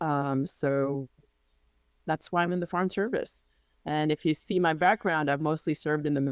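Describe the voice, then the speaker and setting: A woman talks at a fairly quick pace in a very deep, low pitch. The sound is dry and close with no echo over a quiet background. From grew up partly in New Jersey, USA from age 12; earlier childhood elsewhere, Indian family. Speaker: diplomat, ambassador. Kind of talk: interview.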